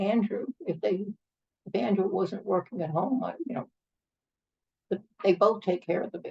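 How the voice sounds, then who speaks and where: A woman with vocal fry speaks at a fairly slow pace and medium pitch, with ordinary pitch variation. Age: 80s+. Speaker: retired professor and union activist. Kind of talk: interview. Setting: home kitchen. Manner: halting.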